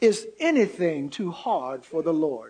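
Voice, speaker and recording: The speaker uses a put-on character voice at a middle pitch. The delivery is fairly slow. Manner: solemn, authoritative.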